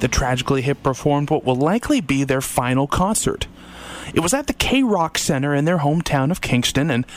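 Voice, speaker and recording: Over noticeable background noise, a man with a Canadian accent speaks at a fairly high pitch with lively intonation. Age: 30s. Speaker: radio host. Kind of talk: radio music show presenting. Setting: radio studio.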